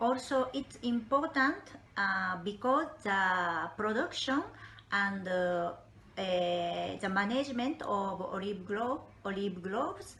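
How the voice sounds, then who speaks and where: Someone with a Japanese accent speaks at a very slow pace with lively intonation. Noticeable background noise runs underneath. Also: woman, medium pitch for a woman. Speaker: olive oil interpreter and broker. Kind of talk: interview. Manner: halting.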